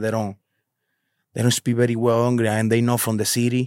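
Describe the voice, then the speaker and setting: A man with a Spanish accent talks at a very fast pace in a medium pitch. The sound is dry and close with no echo, on a very clean recording with a silent background. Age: 30s. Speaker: delivery driver who went viral. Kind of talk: casual interview chat.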